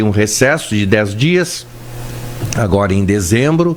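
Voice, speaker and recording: A man with a fairly low pitch uses lively intonation. Noticeable background noise sits behind him. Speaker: doctor hosting radio health show. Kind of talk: casual radio chat. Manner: calmer, less rushed than usual.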